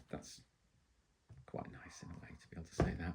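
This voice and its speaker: This man has an English accent. He speaks at a moderate pace. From England. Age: 50s. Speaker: violin maker. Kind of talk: casual chat while working. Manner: relaxed, hesitant with many ums.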